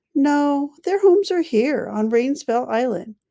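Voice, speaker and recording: Putting on a character voice, a woman speaks at a high pitch and a fairly slow pace. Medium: read story.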